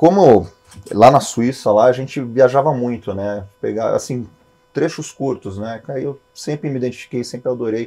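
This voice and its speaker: Speaking at a moderate pace and medium pitch, a man has an unremarkable speaking voice with big swings in loudness. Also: ordinary pitch variation. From Switzerland, then Brazil from age ten (Santos). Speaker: airline/executive pilot. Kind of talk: podcast interview. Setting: flight simulator cockpit. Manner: casual, conversational.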